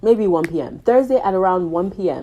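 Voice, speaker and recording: A woman's voice with lively intonation. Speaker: YouTuber. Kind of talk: testimony. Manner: casual, halting.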